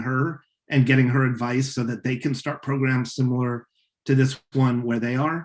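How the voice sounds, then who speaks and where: A man's voice at medium pitch. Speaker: science communication instructor. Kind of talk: webinar lecture. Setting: video call webinar. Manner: fast; casual, many fillers.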